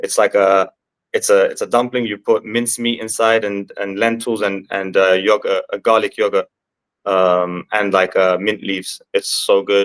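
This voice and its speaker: A man with a London accent speaks in a dry, close sound with no echo. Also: moderate pace. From London, England. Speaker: MMA fighter. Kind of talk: interview. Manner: halting.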